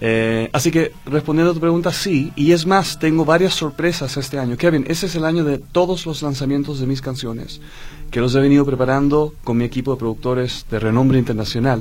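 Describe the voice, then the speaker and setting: A man's fairly high pitch at a fairly quick pace, with ordinary pitch variation and music in the background. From Chile, Dutch mother. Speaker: singer. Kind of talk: radio interview.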